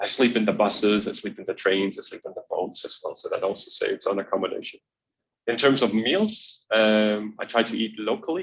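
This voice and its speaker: Talking at a fairly quick pace, a man speaks with a Danish accent. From Denmark. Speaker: extreme traveler. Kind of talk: interview. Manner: hesitant, many fillers and repetitions.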